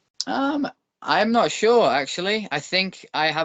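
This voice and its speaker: A man speaks with a Northern English accent. His pitch moves with ordinary variation. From northern England. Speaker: former pro wrestler and bare knuckle boxer. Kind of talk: podcast interview.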